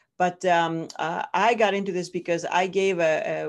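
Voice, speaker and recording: A woman with a Greek accent speaks at a fairly low pitch with fairly even intonation. The background is quiet. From Greece. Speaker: professor. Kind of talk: interview. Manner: halting.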